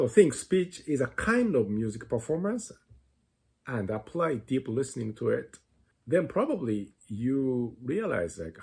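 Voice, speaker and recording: A man with a non-native accent, medium in pitch and somewhat breathy, speaking at a fairly slow pace with lively intonation on a very clean recording with a silent background. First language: not English. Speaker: music teacher. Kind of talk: lecture.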